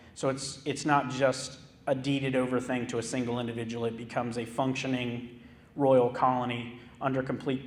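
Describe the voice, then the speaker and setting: There is audible room echo as a man talks at a medium pitch in a flat, monotone way. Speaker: historic park manager. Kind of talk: lecture. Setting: theater stage with audience.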